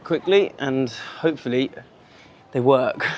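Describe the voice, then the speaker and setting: A man's medium-pitched voice with a British accent, over noticeable background noise. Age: 20s. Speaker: vlogger and English teacher. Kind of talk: casual walking vlog. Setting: outdoors walking in the city. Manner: casual, natural.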